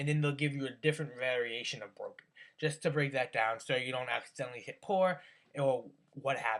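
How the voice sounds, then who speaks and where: Fairly high-pitched, a man speaks at a fairly quick pace with ordinary pitch variation. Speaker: tech YouTuber. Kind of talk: tutorial. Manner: fast; casual, filler-heavy.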